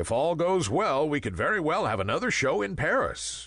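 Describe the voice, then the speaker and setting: A man's put-on character voice, fairly high for a man, with very wide pitch swings. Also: moderate pace, very even loudness. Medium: read story.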